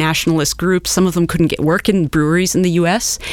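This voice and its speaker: A woman with a Midwestern American accent speaks at a fairly low pitch. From US Midwest, eastern Nebraska. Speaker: historian and beer researcher. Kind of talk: casual interview.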